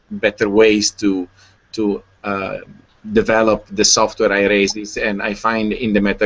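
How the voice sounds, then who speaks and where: A man with an Italian accent, fairly low in pitch, at a fairly slow pace. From Italy. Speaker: open-source software volunteer. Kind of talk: online group meeting introduction. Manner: halting, many fillers.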